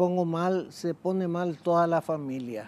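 A woman's dark, mellow tone, fairly low in pitch, with lively intonation. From Paraguay. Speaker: guest's mother; interview guest. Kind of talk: interview. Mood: reflective, emotional. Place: studio. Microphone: lapel.

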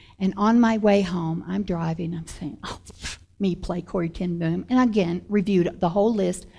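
Somewhat breathy with a dark, mellow tone, a woman talks at a moderate pace with ordinary pitch variation against a quiet background. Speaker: actress sharing testimony. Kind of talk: personal testimony storytelling. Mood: warm, animated, some laughter. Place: studio.

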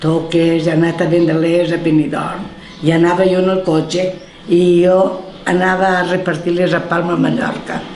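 A woman speaks at a fairly slow pace with a fairly low pitch. Light background noise and audible room echo are present. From Valencian, Marina Baixa. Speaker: village elder interviewee. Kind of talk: oral history interview answer. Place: home room.

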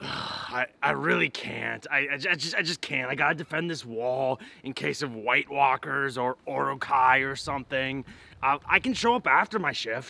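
With vocal fry and ordinary pitch variation, a man talks at a moderate pace in a dry sound with no echo. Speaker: comedic skit actor. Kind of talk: acted phone call. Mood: hesitant, apologetic. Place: garden.

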